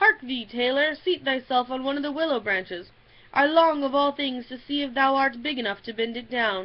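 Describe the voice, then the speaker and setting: Using a put-on character voice, a woman growls in a high pitch at a moderate pace. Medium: read story. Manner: growling into his beard.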